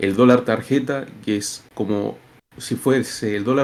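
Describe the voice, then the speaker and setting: A man's normal speaking voice at medium pitch, with fairly even intonation, on a very clean recording with a silent background. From Argentina, Buenos Aires. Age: 20s. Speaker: interviewee from Argentina. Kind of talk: interview.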